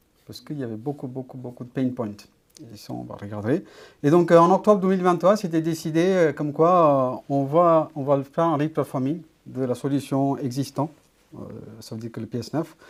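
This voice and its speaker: Speech at a medium speed, recorded very cleanly against a silent background. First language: not French (speaking French). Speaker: data architect, conference speaker. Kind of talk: conference talk. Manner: halting, many hesitations.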